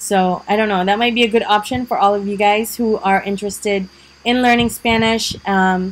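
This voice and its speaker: The speaker has a Visayan Filipino accent. Intonation is monotone and flat, at a moderate pace. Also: woman, medium pitch for a woman. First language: Bisaya (Cebuano). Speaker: vlogger. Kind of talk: casual vlog talk. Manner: many fillers (um, uh, like).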